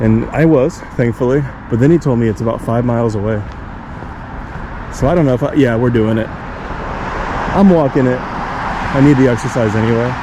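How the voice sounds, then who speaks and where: The speaker mumbles with long, frequent pauses and ordinary pitch variation. Room echo is audible, and there is noticeable background noise. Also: man, medium pitch for a man, fairly quick pace. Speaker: travel vlogger. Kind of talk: casual vlog narration. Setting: outdoors. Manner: mumbling.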